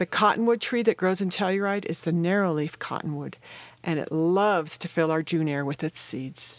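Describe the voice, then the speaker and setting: A woman with an unremarkable speaking voice speaks at a moderate pace and a fairly low pitch. The recording is very clean, with a silent background. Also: ordinary pitch variation. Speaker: naturalist and podcast co-host. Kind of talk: nature documentary narration.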